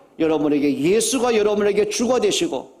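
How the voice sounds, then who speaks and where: An animated man's voice swings very widely in pitch, with audible room echo. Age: 60s. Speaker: pastor. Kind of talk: sermon. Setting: church.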